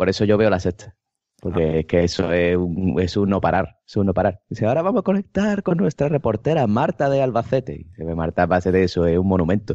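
A man with an Andalusian accent, fairly low in pitch, lively in intonation and very fast in pace. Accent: Andalusian Spanish (Cádiz). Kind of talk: casual chat.

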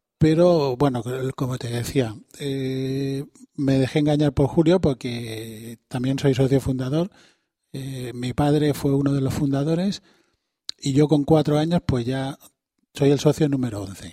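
Fairly slow speech from a man whose fairly high voice has a dark, mellow tone and fairly even intonation. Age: 50s. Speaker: secretary of a regional association. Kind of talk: radio interview.

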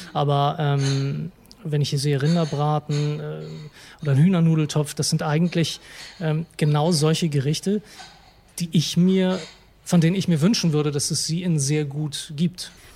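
Somewhat breathy delivery at a fairly slow pace with fairly even intonation. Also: man, fairly high pitch for a man. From Hamburg, northern Germany. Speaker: food blogger. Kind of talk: interview. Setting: restaurant. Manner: hesitant, many fillers.

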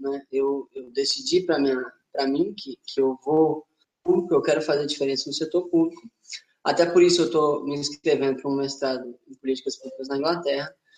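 A man with an ordinary speaking voice, fairly high pitch and a moderate pace. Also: fairly even intonation. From Linhares, Espírito Santo, Brazil. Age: 20s. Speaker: former city council candidate, engineer. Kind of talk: webinar panel discussion.

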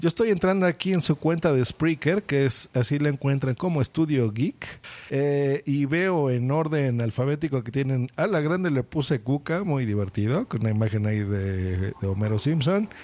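A man with a Mexican accent, his pitch fairly high, intonation lively, hardly any pauses, on a very clean recording with a silent background. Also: moderate pace. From Mexico. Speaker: podcast host. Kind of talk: casual interview.

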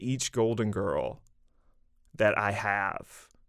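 Here a man speaks with a Southern US accent. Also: very clean recording, silent background. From Mississippi, rural. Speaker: novelist and creative writing professor. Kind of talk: casual interview chat.

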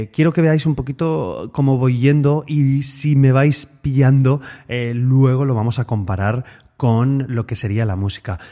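The background stays quiet as a man talks in a dark, mellow tone. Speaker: guitar teacher and podcast host. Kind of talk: solo podcast monologue. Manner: tends to speed up when excited; trying to speak calmly and relaxed.

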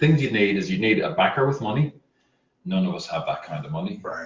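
A man speaks in an Irish accent at a fairly high pitch, with vocal fry and very wide pitch swings. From rural Ireland. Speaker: soccer fan group leader. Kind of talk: casual chat. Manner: playful.

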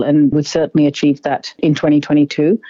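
A woman speaks at a fairly quick pace in a very deep, low voice with an Australian accent. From Zambia, then Australia from childhood. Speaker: politician and physician. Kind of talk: interview. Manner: formal.

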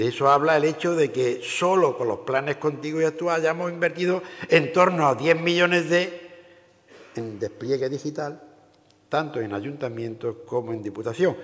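Over noticeable background noise, a man with an Andalusian accent speaks at a moderate pace, his fairly high pitch showing ordinary variation. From Andalusia, Seville province. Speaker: provincial council president, politician. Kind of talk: formal speech. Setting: stage with audience.

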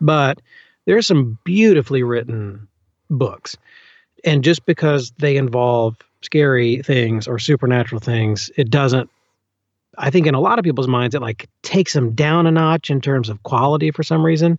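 This man talks with a Southern US accent at a moderate pace. His pitch is fairly high, with ordinary variation. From US South, Birmingham, Alabama. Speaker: audiobook narrator. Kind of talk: casual interview.

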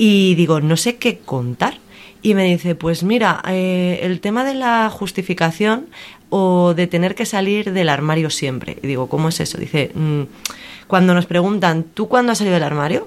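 Here is an unremarkable speaking voice with lively intonation. The pace is moderate. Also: woman, medium pitch for a woman. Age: young. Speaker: entertainment worker and voice course student. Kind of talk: casual chat. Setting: bookshop.

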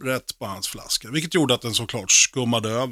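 A man with a bright, sharp tone speaks at a moderate pace with ordinary pitch variation. The sound is dry and close with no echo, in a very clean recording with a silent background. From Sweden, Oxelösund, Sörmland. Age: 40s. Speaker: rock drummer and guest radio presenter. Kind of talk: personal radio monologue with music. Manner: casual, slangy.

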